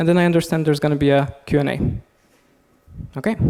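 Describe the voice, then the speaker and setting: Soft-spoken delivery at a very fast pace. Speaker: conference speaker. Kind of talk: lecture.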